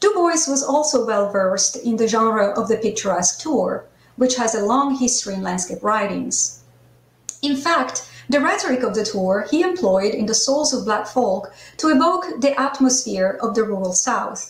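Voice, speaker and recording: A woman's fairly high-pitched voice with lively intonation at a moderate pace, plus audible room echo. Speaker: conference organizer and scholar. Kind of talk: formal lecture. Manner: formal. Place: home room. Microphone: video call.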